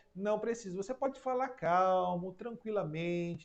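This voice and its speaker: A man's high-pitched voice with lively intonation. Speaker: psychoanalyst and hypnosis teacher. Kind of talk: online class live stream. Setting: live stream.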